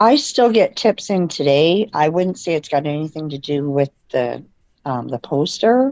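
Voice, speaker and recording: A woman with a Canadian accent speaks at a very deep, low pitch. Her moderate pace sits in a dry, close sound with no echo. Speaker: murder victim's sister. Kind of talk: interview testimony. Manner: halting, many fillers.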